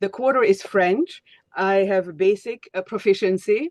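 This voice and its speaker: Fairly slow speech with a Hungarian accent, dry and close with no echo. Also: woman. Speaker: speech coach. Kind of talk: webinar teaching. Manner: halting, many fillers.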